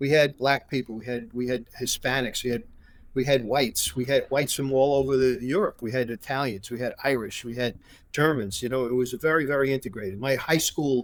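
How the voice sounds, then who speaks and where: There's a New York accent in this man's medium-pitched voice. He speaks at a fairly quick pace with ordinary pitch variation. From New York (Brooklyn). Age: 70s. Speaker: former prosecutor and attorney. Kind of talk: interview conversation. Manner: halting, many fillers and restarts.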